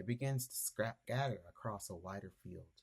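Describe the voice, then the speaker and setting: Somewhat breathy, the man's voice shows ordinary pitch variation. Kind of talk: reflective essay reading.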